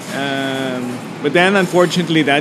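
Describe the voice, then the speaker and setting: Against noticeable background noise and audible room echo, a man speaks with ordinary pitch variation. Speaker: entrepreneur. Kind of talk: interview. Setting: restaurant.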